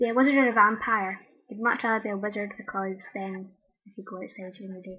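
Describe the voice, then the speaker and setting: A woman's fairly high voice moves at a fairly quick pace with fairly even intonation. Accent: Scottish. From Scotland, Greenock near Glasgow. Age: 20s. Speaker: video blogger. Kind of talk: casual chat. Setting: webcam recording.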